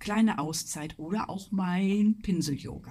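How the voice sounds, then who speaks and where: Somewhat breathy, a woman speaks at a fairly slow pace with a fairly low pitch and a dark, mellow tone. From Ruhr area, Germany. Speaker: illustrator and art teacher. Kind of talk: casual chat.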